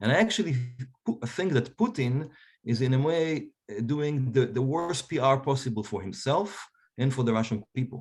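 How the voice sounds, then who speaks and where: Somewhat breathy and at a medium pitch, a man with an Israeli accent talks at a moderate pace with lively intonation. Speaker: historian. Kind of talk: panel discussion.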